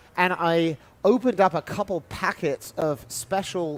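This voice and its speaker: A high-pitched man with a British accent. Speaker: baseball commentator. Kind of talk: live commentary.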